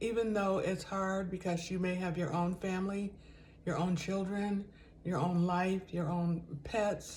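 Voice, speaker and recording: Somewhat breathy at a medium pitch, a woman speaks with audible room echo around her voice. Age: 70s. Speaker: lifestyle vlogger. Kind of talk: casual vlog monologue. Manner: conversational, with fillers.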